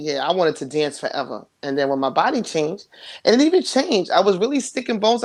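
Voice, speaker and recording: A woman speaks with a New York accent on a very clean recording with a silent background. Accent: New York City. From New York City, Queens. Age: 40s. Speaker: interview guest. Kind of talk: casual interview chat.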